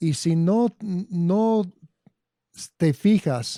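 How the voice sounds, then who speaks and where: Speaking with an English accent, a man uses ordinary pitch variation in a dark, mellow tone. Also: dry, close sound with no echo. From Arizona. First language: English (speaking Spanish). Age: 60s. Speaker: agronomy consultant. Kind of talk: interview.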